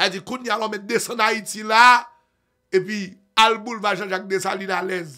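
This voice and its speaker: Against a quiet background, a man with a high pitch uses a raised, projected voice, his tone bright, sharp and animated, at a fairly slow pace. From Haiti. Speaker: online news commentator. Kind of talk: news commentary. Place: studio. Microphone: studio mic.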